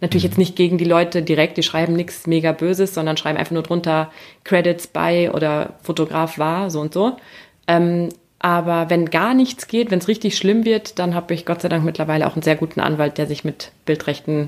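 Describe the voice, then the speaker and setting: On a very clean recording with a silent background, a woman with a fairly low pitch speaks at a fairly quick pace with fairly even intonation. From Siegerland, Germany. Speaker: photographer and travel blogger. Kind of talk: casual chat.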